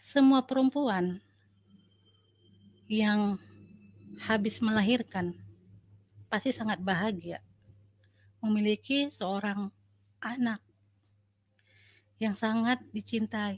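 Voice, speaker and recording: A woman with a Sumatran accent speaks very slowly at a fairly high pitch, somewhat breathy, with long, frequent pauses, in a dry, close sound with no echo. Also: ordinary pitch variation. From North Sumatra, Asahan. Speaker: nurse. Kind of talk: testimony.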